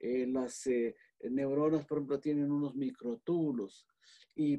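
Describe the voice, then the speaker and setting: Fairly high for a man, his voice has a dark, mellow tone and ordinary pitch variation. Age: 80s+. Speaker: physician. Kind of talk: lecture-style explanation. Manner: halting, with frequent fillers.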